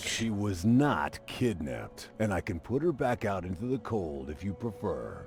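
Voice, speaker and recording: A man uses a put-on character voice with a fairly low pitch. He talks at a moderate pace over clear background noise. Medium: video game. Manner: meek, earnest.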